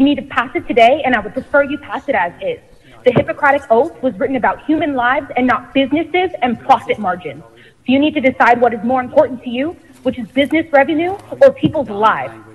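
A woman speaks at a very fast pace with a high pitch. Her loudness swings widely. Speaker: member of the public commenting. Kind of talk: public comment statement. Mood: urgent, earnest appeal. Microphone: phone line.

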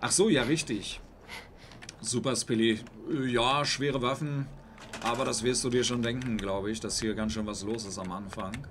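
Amid audible room echo, a man speaks at a moderate pace and medium pitch with ordinary pitch variation and long, frequent pauses. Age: 40s. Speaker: gaming streamer. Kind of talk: live stream commentary. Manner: halting.

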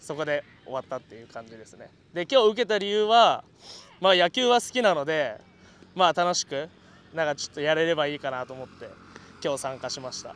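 Speaking at a fairly high pitch and a fairly quick pace, a man makes very wide pitch swings and big swings in loudness. Long, frequent pauses break up his speech, and the sound is dry and close with no echo. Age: 20s. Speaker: former independent-league baseball player. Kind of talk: group interview.

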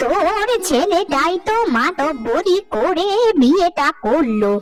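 A woman puts on a cartoonish character voice, high-pitched with very wide pitch swings. She goes at a very slow pace, with clear music in the background. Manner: brisk, conspiratorial.

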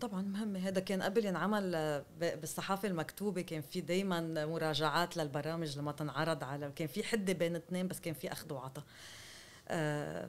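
With ordinary pitch variation and a moderate pace, a woman talks. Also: fairly low pitch for a woman. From Lebanon. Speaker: journalist and novelist; journalist guest. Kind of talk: interview. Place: home room. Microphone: studio mic.

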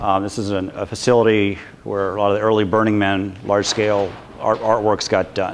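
Here is a normal speaking voice from a man at a moderate pace. His pitch sits fairly low. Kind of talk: lecture. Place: workshop.

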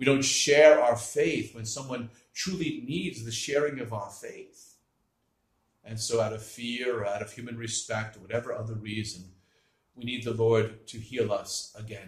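A somewhat breathy man speaks with ordinary pitch variation and big swings in loudness, against a quiet background with audible room echo. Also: moderate pace. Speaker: priest. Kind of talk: homily, preaching on the gospel, with a reading of scripture. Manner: teaching, earnest and explanatory, with a lively moment of mimicry. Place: home room. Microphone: webcam.

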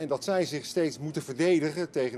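A man's dark, mellow voice. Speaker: political correspondent. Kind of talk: live news analysis. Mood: calm, measured.

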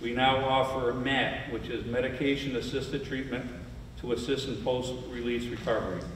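A man with an American accent, medium-pitched and fairly quick, amid audible room echo and noticeable background noise. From Saratoga County, upstate New York. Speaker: county sheriff. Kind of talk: prepared speech.

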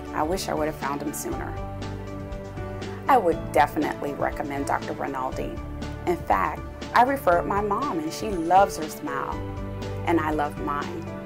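Over clear background music, a woman talks at a moderate pace, leaving long, frequent pauses. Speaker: dental patient. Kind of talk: patient testimonial. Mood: calm, pleased. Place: studio.

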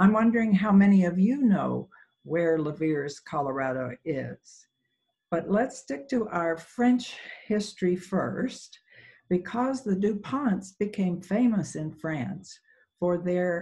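Very slow delivery against a quiet background. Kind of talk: lecture. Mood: warm, lightly humorous. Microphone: video call.

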